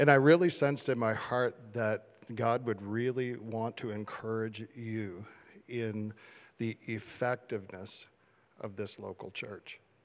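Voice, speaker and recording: An ordinary speaking voice from a man, medium in pitch, fairly slow, with fairly even intonation. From Canada, small town Ontario. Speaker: church leader. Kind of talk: encouragement address. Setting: church service.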